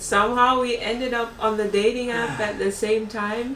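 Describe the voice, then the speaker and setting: A woman speaks at a fairly slow pace with a slight Jamaican accent, her pitch fairly high and its variation ordinary. The room echo is audible and there is noticeable background noise. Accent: light Jamaican. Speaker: vlogger. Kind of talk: casual chat.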